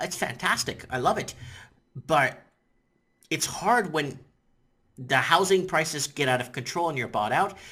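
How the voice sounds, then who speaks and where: This man has a fairly high pitch, a bright, sharp tone and lively intonation. He keeps a moderate pace broken by long, frequent pauses. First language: Portuguese. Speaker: YouTuber. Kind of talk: casual vlog commentary. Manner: rambling, halting with many fillers.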